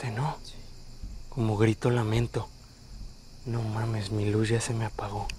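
With a Mexican accent, a man speaks in a somewhat breathy, dark, mellow tone at a fairly slow pace, using monotone, flat intonation and long, frequent pauses over light background noise. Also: medium pitch for a man, dry sound with no echo. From Mexico. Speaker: paranormal explorer youtuber. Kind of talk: on-location exploration vlog. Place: open country. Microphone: phone near.

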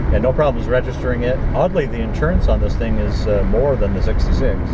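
The speech moves at a fairly quick pace. Loud background noise is present. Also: man. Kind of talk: casual vlog chat. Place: car. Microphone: camera far.

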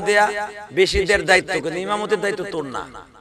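This man's voice sounds dry with no echo, over noticeable background noise. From Bangladesh. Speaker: Islamic preacher. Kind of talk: sermon. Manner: animated. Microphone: podium.

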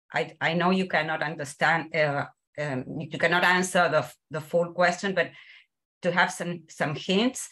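Against a quiet background, a woman speaks with a bright, sharp tone, fairly low pitch and fairly even intonation. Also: moderate pace. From Argentina. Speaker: academic. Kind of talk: Q&A question. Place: home room. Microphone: video call.

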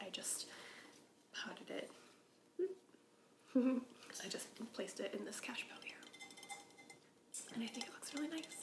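Whispering and soft-spoken, a woman talks at a moderate pace with long, frequent pauses over noticeable background noise. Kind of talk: casual vlog chat. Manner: soft ASMR whisper. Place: home room. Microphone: camera far.

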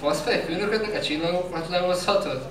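There is audible room echo and noticeable background noise around a man's voice. He speaks at a moderate pace. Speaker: slam poet. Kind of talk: slam poetry performance. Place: stage.

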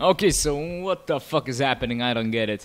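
A man with very wide pitch swings. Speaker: gamer. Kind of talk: let's play commentary. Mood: sarcastic, profane, amused. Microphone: studio mic.

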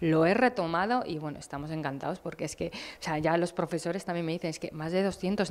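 Talking at a very fast pace, a woman uses a fairly low pitch. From Basque Country, Abadiño (Biscay). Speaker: cycling coach and event organizer. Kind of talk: interview. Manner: halting. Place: studio. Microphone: handheld.

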